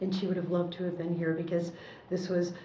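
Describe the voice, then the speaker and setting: A woman speaks in an American accent at a fairly low pitch. Noticeable background noise and audible room echo surround her voice. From US Midwest, Chicago. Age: 60s. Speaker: war veteran, former entertainer. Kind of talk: oral history interview. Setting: library.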